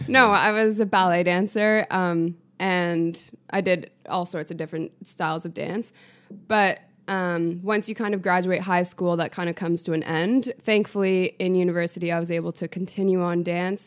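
A woman's voice at medium pitch, an ordinary speaking voice with fairly even intonation and a moderate pace, on a very clean recording with a silent background. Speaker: girlfriend of host, guest. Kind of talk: casual chat.

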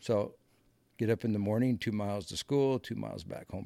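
In a Midwestern American accent, a man with a fairly low pitch and a dark, mellow tone talks at a moderate pace with ordinary pitch variation, the sound dry and close with no echo. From US Midwest (Muscatine, Iowa). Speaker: navy veteran, horse trainer. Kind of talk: casual interview.

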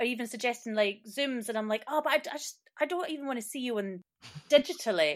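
Talking at a very fast pace, a woman with a Scottish accent uses a high pitch and lively intonation. Her loudness swings widely. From Scotland. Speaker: performer and student. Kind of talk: casual interview.

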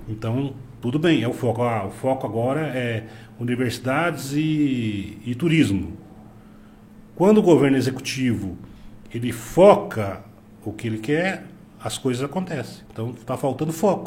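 Over audible room echo, a somewhat breathy man of medium pitch talks fairly slowly with lively intonation and long, frequent pauses. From Paraná, Brazil (Cascavel). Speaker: business owner. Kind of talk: casual interview.

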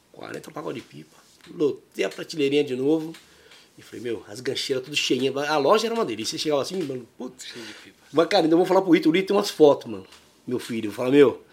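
Words come at a very fast pace, with lively intonation and big swings in loudness. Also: man, fairly high pitch for a man. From São Paulo, Brazil (moved from Minas Gerais at seven). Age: 50s. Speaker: kite maker and shop owner. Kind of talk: casual chat. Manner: animated.

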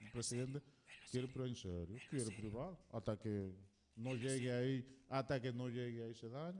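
A man's voice with a dark, mellow tone. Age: 50s. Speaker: radio co-host. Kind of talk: casual chat.

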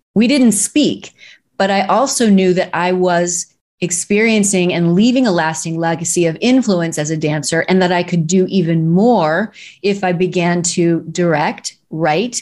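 A woman's ordinary speaking voice at medium pitch, with ordinary pitch variation. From US Midwest, Missouri. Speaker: speaking coach and director. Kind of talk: interview.

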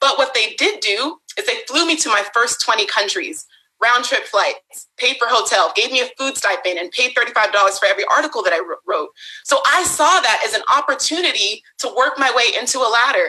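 This woman speaks in a raised, projected voice with a bright, sharp, animated tone, a high pitch and very wide pitch swings at a moderate pace. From US West Coast, San Francisco Bay Area. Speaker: Instagram content creator. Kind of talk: casual interview.

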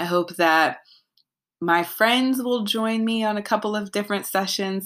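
Recorded very cleanly against a silent background, a woman with a plain, everyday voice speaks at a moderate pace and medium pitch, with lively intonation. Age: 20s. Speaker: podcast host. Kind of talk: solo casual monologue. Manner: laughs often.

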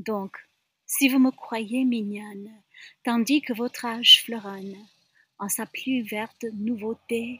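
In a very clean recording with a silent background, a woman with a bright, sharp tone speaks very slowly with fairly even intonation. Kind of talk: poem reading. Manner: slow, deliberate, wistful; expressive, emphatic repetition.

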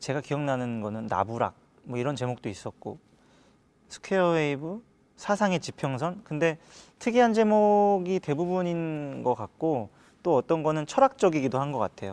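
Against a quiet background, a man with a fairly high pitch speaks at a moderate pace, his pitch swinging very widely. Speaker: pianist. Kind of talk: casual chat.

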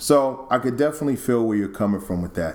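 A man with an American accent speaks at a fairly quick pace in a normal speaking voice. His pitch is medium, with ordinary variation. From New York. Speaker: podcast host and musician. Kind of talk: casual chat.

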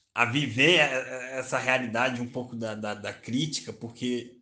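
Fairly slow speech from a man at medium pitch, bright and sharp in tone, with fairly even intonation. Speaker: journalist and psychoanalytic therapist. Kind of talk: solo podcast monologue. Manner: hesitant with repetitions.

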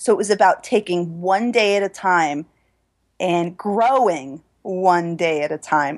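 A woman with an unremarkable speaking voice talks at a fairly slow pace and medium pitch, with ordinary pitch variation, against a quiet background. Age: 30s. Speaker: personal trainer and yoga teacher. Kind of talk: interview.

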